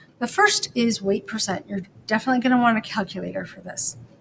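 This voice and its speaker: The woman's voice is somewhat breathy, with lively intonation. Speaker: high school chemistry teacher. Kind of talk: lecture. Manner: casual, conversational.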